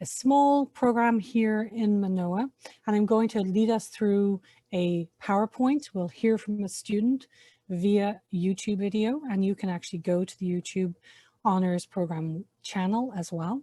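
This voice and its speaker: With an Irish accent, a woman speaks fairly slowly at a medium pitch with ordinary pitch variation, the sound dry and close with no echo. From Ireland. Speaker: university honors program faculty member. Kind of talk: webinar presentation. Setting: online webinar.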